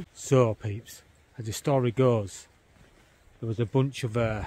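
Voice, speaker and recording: Somewhat breathy, a man speaks with ordinary pitch variation in a dry sound with no echo. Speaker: vlogger. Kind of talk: casual vlog storytelling. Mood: playful spooky storytelling. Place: forest. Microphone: phone near.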